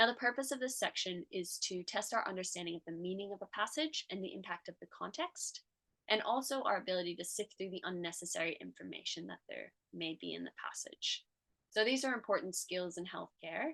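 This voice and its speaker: With an American accent, a woman of medium pitch talks at a fairly quick pace in a bright, sharp tone with vocal fry and lively intonation, in a dry, close sound with no echo. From United States. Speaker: tutor and medical student. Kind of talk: tutorial.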